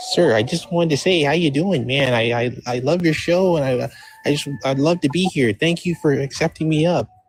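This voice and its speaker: Putting on a nasal character voice, a man speaks at a fairly quick pace and a fairly high pitch. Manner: fake, put-on.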